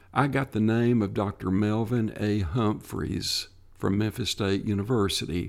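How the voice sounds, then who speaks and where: A man with a Tennessee accent, fairly low-pitched, at a moderate pace on a very clean recording with a silent background. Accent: US Southern (Tennessee). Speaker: retired state parks programming official. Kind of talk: interview.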